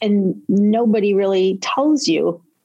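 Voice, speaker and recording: A woman speaks in an ordinary speaking voice at medium pitch with ordinary pitch variation. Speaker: podcast host and self-defense expert. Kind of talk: interview conversation.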